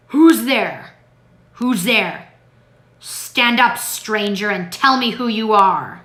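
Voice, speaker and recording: A woman puts on a growling character voice at a fairly high pitch. Her pace is very slow. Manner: menacing, demanding.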